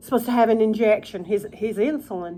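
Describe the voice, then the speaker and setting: Mumbling at a moderate pace, a woman speaks. Her pitch is fairly high. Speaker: vlogger. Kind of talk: casual chat. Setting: at home, eating supper in her kitchen.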